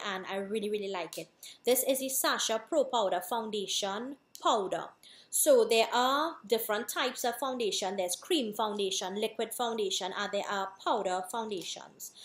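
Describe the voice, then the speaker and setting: A woman speaks at a moderate pace, her pitch fairly high with ordinary variation. The recording is very clean, with a silent background. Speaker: beauty vlogger. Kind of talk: product review tutorial.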